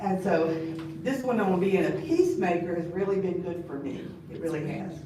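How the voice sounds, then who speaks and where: With an American accent, a woman with a fairly low voice and ordinary pitch variation speaks in big swings of loudness, amid noticeable background noise and audible room echo. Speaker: bible study teacher. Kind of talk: bible study lesson. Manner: fast.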